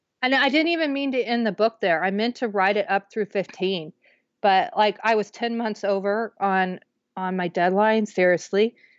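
With an American accent, a woman speaks at a moderate pace and medium pitch in an unremarkable speaking voice, her intonation lively. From Kansas, Wichita. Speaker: author. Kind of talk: interview, personal testimony.

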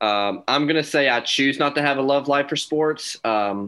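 Against a quiet background, a man uses an ordinary speaking voice at a moderate pace with ordinary pitch variation. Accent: American. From North Carolina. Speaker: sports podcast co-host. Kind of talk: casual chat.

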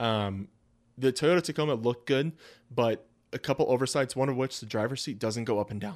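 A man with a plain, everyday voice speaks at a fairly quick pace and a medium pitch. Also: ordinary pitch variation, very clean recording, silent background. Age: 30s. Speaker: car podcast co-host. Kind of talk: casual chat.

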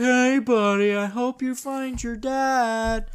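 The speaker uses a put-on character voice with a fairly high pitch. The pace is very slow, over light background noise. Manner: friendly, cheery.

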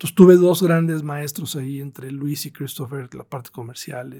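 This man's voice has a dark, mellow tone. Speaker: tennis tournament promoter. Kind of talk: interview.

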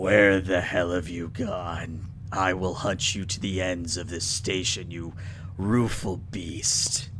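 A man speaks in a gravelly, put-on character voice, very deep and low, at a fairly slow pace over loud background noise. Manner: threatening.

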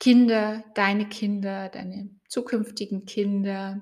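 A woman's calm, soothing voice at medium pitch, somewhat breathy, with monotone, flat intonation. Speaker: coach and podcast host. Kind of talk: guided meditation. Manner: calm, slow, soothing, with gentle pauses.

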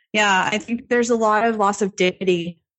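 A woman speaks at a moderate pace with fairly even intonation. She has a plain, everyday voice. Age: 30s. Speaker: nutritionist and weightlifting coach. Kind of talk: interview.

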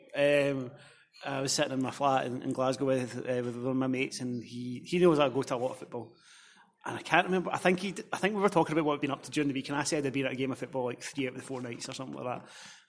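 Talking at a very fast pace, a man uses a Scottish accent. His pitch is medium, with ordinary pitch variation. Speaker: football blogger. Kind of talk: casual chat.

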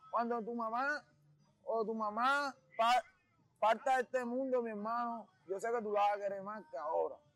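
A man's extremely high voice with fairly even intonation, a moderate pace, and long, frequent pauses. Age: 20s. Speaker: rapper. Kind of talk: casual interview monologue.

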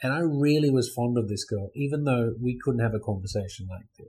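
A man with an Australian accent speaks at a moderate pace and medium pitch in a dark, mellow, somewhat breathy tone with ordinary pitch variation. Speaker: guest, expat YouTuber.

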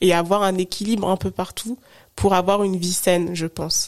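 A woman speaks at a moderate pace in a plain, everyday voice, medium in pitch with fairly even intonation. The sound is dry and close, with no echo. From France, Haute-Savoie. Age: 30s. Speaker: digital consultant and podcaster. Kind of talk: interview.

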